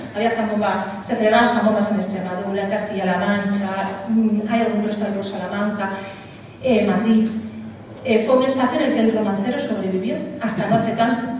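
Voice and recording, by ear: Audible room echo surrounds a woman speaking at a fairly quick pace. Her medium pitch stays fairly even, with a slightly mellow tone.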